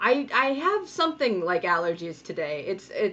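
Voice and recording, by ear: A woman talks at a moderate pace in a fairly bright tone. Her pitch makes big swings. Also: medium pitch for a woman.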